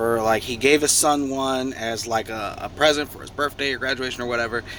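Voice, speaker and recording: In a plain, everyday voice, a man talks at a moderate pace and medium pitch, keeping his intonation fairly even. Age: 30s. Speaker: truck driver sharing life story. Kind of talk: casual storytelling vlog.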